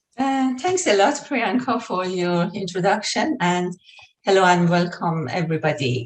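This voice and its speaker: A somewhat breathy woman's voice in an Iranian accent, medium in pitch, at a moderate pace, with very wide pitch swings. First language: Persian. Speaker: health researcher. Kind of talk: lecture.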